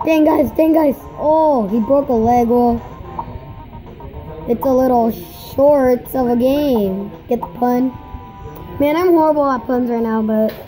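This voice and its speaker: Over faint music in the background, a woman speaks very slowly at a high pitch with ordinary pitch variation. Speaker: gamer. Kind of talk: casual gameplay commentary. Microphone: phone near.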